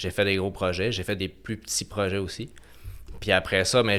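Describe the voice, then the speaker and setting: On a very clean recording with total background silence, a man speaks in a very deep, low voice. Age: 30s. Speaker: construction project manager. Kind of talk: podcast interview. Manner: halting.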